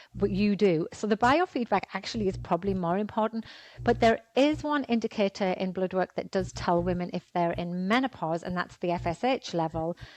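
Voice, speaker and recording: A woman speaks at a medium pitch with ordinary pitch variation and a fairly quick pace. It's an unremarkable speaking voice, heard in a dry, close sound with no echo. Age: 50s. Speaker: fitness and women's health expert. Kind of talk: podcast interview.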